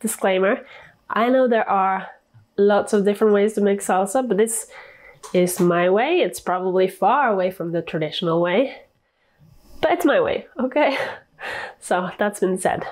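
She talks at a moderate pace, with long, frequent pauses and ordinary pitch variation. The background is quiet. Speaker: home cook vlogger. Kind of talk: casual cooking tutorial chat. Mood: light, playful, laughing. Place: kitchen. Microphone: lapel.

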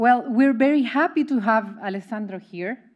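With a Spanish accent, a woman speaks at a moderate pace with ordinary pitch variation against a quiet background. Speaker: academic event moderator. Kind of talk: formal introduction. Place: hall.

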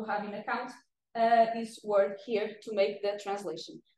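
Light background noise and audible room echo surround a woman speaking at a moderate pace. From northern Portugal, Viana do Castelo; northern Portugal. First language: Portuguese. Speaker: data engineer presenting research. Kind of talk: academic presentation. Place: meeting room.

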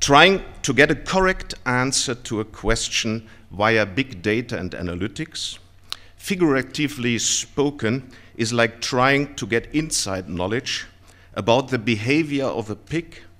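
A man speaks at a fairly slow pace with a bright, sharp tone. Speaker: conference speaker. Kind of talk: lecture. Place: hall. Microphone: podium.

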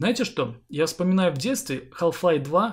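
A man talks at a moderate pace with a somewhat breathy voice and lively intonation. The recording is very clean, with a silent background. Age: 30s. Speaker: gaming YouTuber. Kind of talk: Q&A vlog to viewers.

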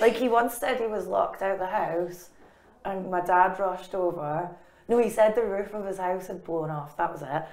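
A woman speaks in a Scottish accent at a medium pitch and a moderate pace. Her pitch varies in an ordinary way, her loudness swings widely, and the room echo is audible. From Scotland. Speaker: comedian and author. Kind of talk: interview answer. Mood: wry, humorous storytelling. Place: studio.

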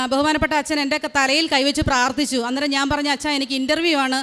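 This is a woman with a high-pitched voice. Her intonation stays flat and monotone. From Kerala, Alappuzha district (Haripad). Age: 40s. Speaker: nurse. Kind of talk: testimony.

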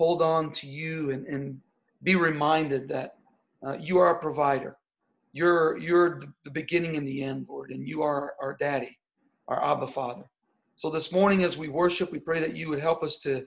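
Here a man speaks at a moderate pace. His intonation is fairly even. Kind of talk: prayer and announcements. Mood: earnest, grateful, prayerful. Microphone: video call.

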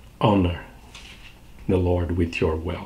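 A man speaks at a fairly slow pace in a somewhat breathy voice. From southern Brazil. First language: Portuguese. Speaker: pastor. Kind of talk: short devotional sermon. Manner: warm, repetitive. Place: home room. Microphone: webcam.

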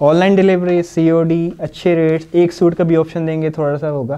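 A man's clear, smooth, dark and mellow voice at a moderate pace, with little pitch movement. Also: fairly high pitch for a man.

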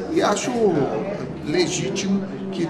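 A man's voice against loud background noise. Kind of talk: interview answer. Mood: calm, measured. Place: office. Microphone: handheld.

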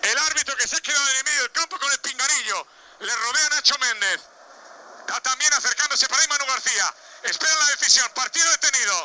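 A man speaks at an extremely high pitch. His pace is very fast. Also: ordinary pitch variation. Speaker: sports commentator. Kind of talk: live sports commentary on a match, narrated as a fan. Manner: animated, tense and excitable, rapid-fire with repeated phrases; jokey, with quips mixed into the play-by-play.

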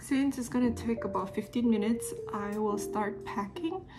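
Clear music plays in the background. A woman talks over it at a moderate pace. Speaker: lifestyle vlogger. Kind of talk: casual vlog chat. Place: home room. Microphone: phone near.

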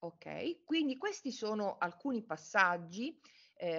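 A woman is speaking. The background is quiet. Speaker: forensic medicine professor. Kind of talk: academic lecture. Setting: video call. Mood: calm, serious. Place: home room. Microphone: on mobile phone; webcam.

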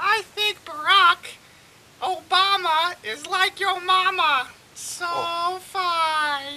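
A cartoonish character voice, extremely high in pitch, drags along at a very slow pace. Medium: puppet. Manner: joking, goofy.

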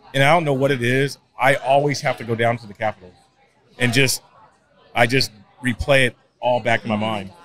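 Crowd noise fills the background as a man talks at a fairly quick pace. The sound is dry with no echo. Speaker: street preacher, conservative activist; podcast guest, street preacher. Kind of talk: interview answer. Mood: earnest, reflective. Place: studio. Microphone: studio mic.

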